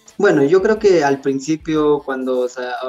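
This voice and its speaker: A man speaks with noticeable background noise underneath. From Peru, rural Andes near Cusco. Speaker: content creator. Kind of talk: interview.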